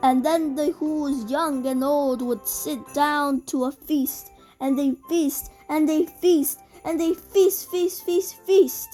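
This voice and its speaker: Faint music plays in the background as the voice moves at a very slow pace with ordinary pitch variation. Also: woman, high pitch for a woman. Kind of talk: bedtime story. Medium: read story.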